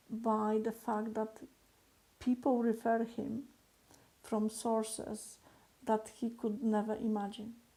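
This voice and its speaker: A woman speaks at a very slow pace with a non-native accent. Her pitch is fairly high and her intonation is monotone and flat. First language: not English. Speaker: business coach. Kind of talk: motivational talk to camera. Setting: recorded video alone. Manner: hesitant, many fillers.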